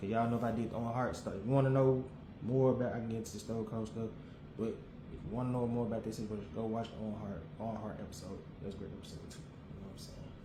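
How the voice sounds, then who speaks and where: Over noticeable background noise and audible room echo, a man talks at a very fast pace. His pitch is medium and his intonation fairly even. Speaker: wrestling podcaster. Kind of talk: casual solo commentary.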